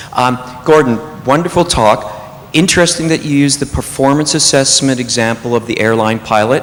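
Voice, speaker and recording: Speaking at a fairly quick pace, a man with a medium pitch and ordinary pitch variation is heard over noticeable background noise. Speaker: audience member asking a question. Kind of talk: Q&A question from audience. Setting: convention hall with audience. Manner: loud.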